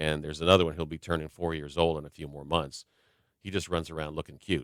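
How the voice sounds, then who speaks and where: A man with a very deep, low pitch at a very fast pace, monotone and flat, with big swings in loudness and a dry, close sound with no echo. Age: 60s. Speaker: basketball play-by-play announcer. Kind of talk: radio interview. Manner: conversational, many fillers.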